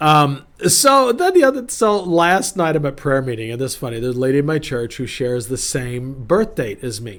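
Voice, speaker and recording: A man with an unremarkable speaking voice talks at a fairly quick pace and a fairly high pitch, with lively intonation. The recording is very clean, with a silent background. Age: 50s. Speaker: pastor. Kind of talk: casual devotional talk. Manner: casual, conversational with fillers.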